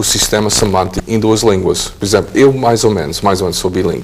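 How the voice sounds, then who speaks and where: Against noticeable background noise, a man with a slight non-native accent talks at a fairly quick pace in a fairly low pitch. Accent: slight foreign accent in Portuguese. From United States. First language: English (speaking Portuguese). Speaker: professor. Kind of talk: interview. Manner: halting, many hesitations and repetitions.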